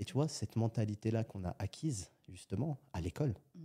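A man's fairly low, dark, mellow and somewhat breathy voice at a fairly quick pace with lively intonation, dry and close with no echo in a very clean recording with a silent background. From France, Algerian family. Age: 30s. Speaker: entrepreneur. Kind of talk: casual interview.

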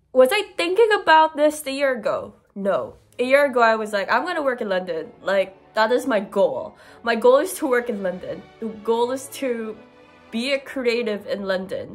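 A woman's high voice with faint music in the background. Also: moderate pace. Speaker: postgraduate student vlogger. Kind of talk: casual vlog chat. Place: home room.

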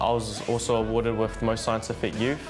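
Clear music sounds in the background. Over it, a man speaks. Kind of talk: interview answer. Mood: modest, quietly confident. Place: gym.

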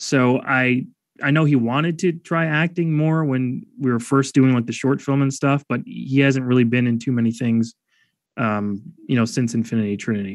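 A man speaks in an unremarkable speaking voice with an American accent. His pitch is medium, with ordinary variation, and his pace is moderate. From Chicago south suburbs (Calumet City). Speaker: filmmaker and web video creator. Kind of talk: casual interview chat.

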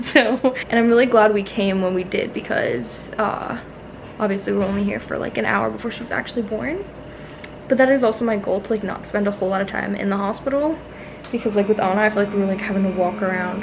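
A woman rushes along very fast with ordinary pitch variation, noticeable background noise behind her. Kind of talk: casual vlog chat. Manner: tired, drowsy post-birth talk. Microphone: phone near.

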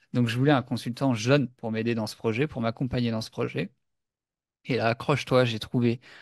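A man with an ordinary speaking voice, medium in pitch with fairly even intonation, at a moderate pace, dry and close with no echo against a quiet background. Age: 30s. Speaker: entrepreneur podcast co-host. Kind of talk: casual chat.

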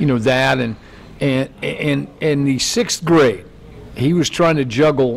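The pace of this man's speech is fairly slow. His pitch moves with ordinary variation. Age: 60s. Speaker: sports radio host and coach. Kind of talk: casual interview chat. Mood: warm, reflective. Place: studio. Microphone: handheld.

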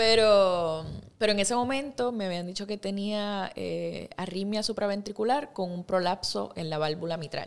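A woman talks at a moderate pace, and her pitch shows ordinary variation. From Puerto Rico (Ponce, San Germán); Puerto Rico. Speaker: actress and singer; actress. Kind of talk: interview. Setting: studio. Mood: relaxed, storytelling. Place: studio. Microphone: studio mic.

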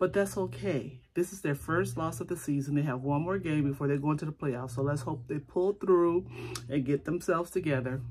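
This woman talks at a fairly quick pace in a very deep, low voice, with ordinary pitch variation. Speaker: beauty vlogger. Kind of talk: casual vlog chat. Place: home room. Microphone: phone near.

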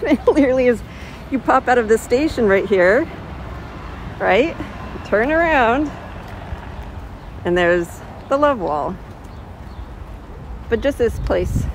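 A woman talks at a fairly slow pace with long, frequent pauses, in a dry recording with no echo and light background noise. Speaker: tour guide vlogger. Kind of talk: casual walking tour commentary. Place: street. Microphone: phone near.

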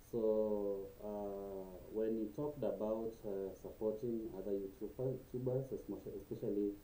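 Over light background noise and audible room echo, a dark, mellow tone comes through with ordinary pitch variation. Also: man. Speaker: YouTuber. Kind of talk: casual vlog chat. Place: home room. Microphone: webcam.

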